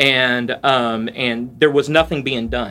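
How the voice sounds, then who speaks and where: In a Southern US accent, a man speaks at a fairly slow pace. The recording is very clean, with a silent background. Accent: Southern US (Georgia). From US South, south Georgia (Valdosta). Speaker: pastor. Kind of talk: casual interview chat. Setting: at his church.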